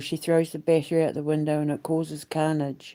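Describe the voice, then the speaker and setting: A woman with a New Zealand accent, a very deep, low pitch and a dark, mellow tone at a moderate pace, in a very clean recording with a silent background. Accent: New Zealand, refined. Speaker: vlogger and aspiring musical theatre creator. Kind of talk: casual vlog monologue. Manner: rambling with frequent fillers.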